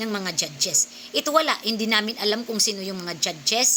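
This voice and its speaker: Animated tone from a woman at a moderate pace, with noticeable background noise. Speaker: singer and vlogger. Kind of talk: vlog rant.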